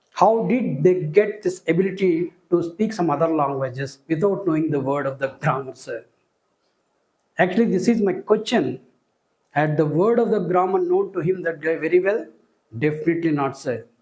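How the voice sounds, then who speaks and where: Speaking with a Telugu accent, a man uses a high pitch, ordinary pitch variation and a moderate pace. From India, Telugu-speaking region. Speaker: school teacher. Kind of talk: lecture. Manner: formal.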